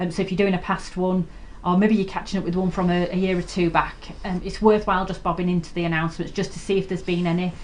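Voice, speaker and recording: A woman with a British accent at a very fast pace, her intonation monotone and flat. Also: medium pitch for a woman. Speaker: quilting shop owner and video host. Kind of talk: live sewing tutorial chat. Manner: hesitant, many ums; quiet while concentrating.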